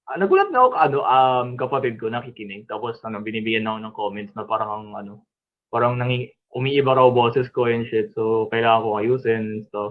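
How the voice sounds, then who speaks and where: Speaking at a fairly quick pace and medium pitch, a man keeps a fairly even intonation while his loudness swings widely. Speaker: podcast co-host. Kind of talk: casual chat. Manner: halting, many fillers.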